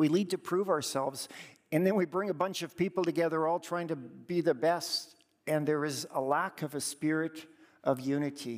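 A man's unremarkable speaking voice, fairly high in pitch, with a Canadian accent, fairly even intonation and a moderate pace. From Alberta, Canada. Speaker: church district leader. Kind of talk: sermon. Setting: church.

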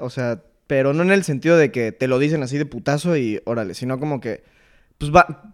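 A man speaks in a plain, everyday voice, fairly high in pitch with ordinary pitch variation, at a moderate pace. The recording is very clean with a silent background. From Mexico City. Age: 20s. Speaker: engineering student. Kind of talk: casual chat.

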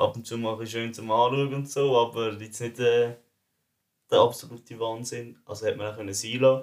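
Pitched at a medium level, a man speaks fairly quickly. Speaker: student podcast co-host. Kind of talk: casual chat.

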